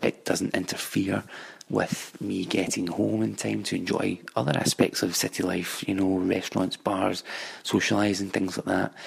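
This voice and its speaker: A man with a Glasgow accent speaks at a moderate pace, his very deep voice full of vocal fry and very wide pitch swings. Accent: Scottish (Glasgow). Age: 20s. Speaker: commercial property analyst. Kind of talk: recorded monologue about his city.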